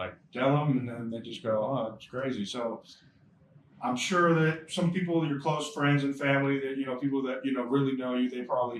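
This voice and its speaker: Over noticeable background noise, a man with a Southern US accent talks fairly quickly at a medium pitch, with fairly even intonation. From Bay Area, California. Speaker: interviewer. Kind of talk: casual interview. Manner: hesitant, many fillers.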